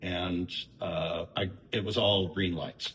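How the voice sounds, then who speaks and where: Here a man speaks with a very deep, low pitch. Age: 60s. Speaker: tattoo client. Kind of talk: interview.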